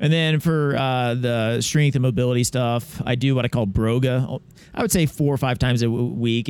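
A man with a plain, everyday voice speaks at a moderate pace and medium pitch. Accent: American. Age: 40s. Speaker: obstacle racer and chiropractor. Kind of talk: interview. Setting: recorded at a media event.

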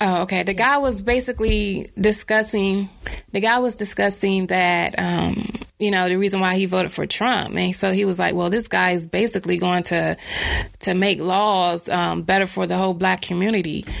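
Her intonation fairly even, a woman with a normal speaking voice talks at a moderate pace and medium pitch. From North Carolina, Bertie County. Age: 20s. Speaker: author. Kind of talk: casual chat.

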